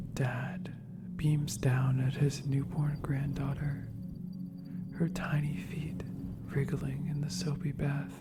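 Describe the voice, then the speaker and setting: Very slow, soft-spoken delivery with music in the background. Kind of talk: soft-spoken ASMR story reading. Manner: soft-spoken, slow.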